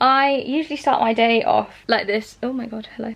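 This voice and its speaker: A woman with a British accent at a fairly high pitch, amid noticeable background noise. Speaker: vegan lifestyle vlogger. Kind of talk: casual vlog. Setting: at home, in bed.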